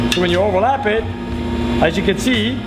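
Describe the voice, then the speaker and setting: Loud background noise plays under a man speaking at a fairly quick pace. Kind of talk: tutorial. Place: garage.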